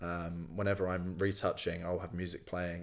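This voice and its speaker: A man speaks with a southern English accent. His pitch is very deep and low. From Kent, southeast England. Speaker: photographer and photography student. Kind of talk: casual interview chat.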